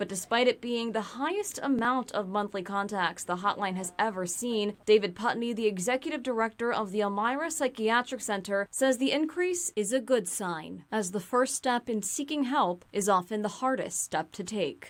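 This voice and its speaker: A woman with a normal speaking voice and a fairly high pitch talks at a moderate pace with lively intonation and hardly any pauses, on a very clean recording with a silent background. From Connecticut, USA. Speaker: television news anchor and reporter. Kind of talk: serious news package narration.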